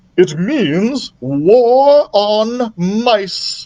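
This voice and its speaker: This is a put-on character voice. It is pitched fairly high. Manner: ominous.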